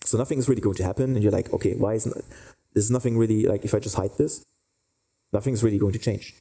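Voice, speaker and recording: A man with a fairly low pitch and a dark, mellow, somewhat breathy tone speaks at a very fast pace with fairly even intonation and long, frequent pauses. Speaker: 3D lighting instructor. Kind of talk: tutorial. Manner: halting, many fillers.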